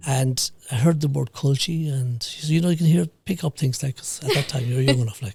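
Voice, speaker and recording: Talking at a fairly quick pace with hardly any pauses, a man with a fairly high pitch speaks in an Irish accent. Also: ordinary pitch variation. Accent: rural Irish (Mayo). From Ireland, County Mayo. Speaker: business founder and HR consultant. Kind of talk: podcast interview. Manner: halting.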